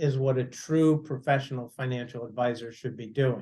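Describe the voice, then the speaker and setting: At a fairly slow pace, a man speaks in a normal speaking voice. His pitch is fairly high, with ordinary pitch variation. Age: 60s. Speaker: financial advisor. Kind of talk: casual chat.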